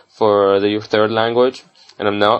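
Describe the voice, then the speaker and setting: A man speaks with an Arabic accent in a fairly low pitch. His intonation is monotone and flat. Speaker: medical student. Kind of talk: tutorial. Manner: halting, many fillers.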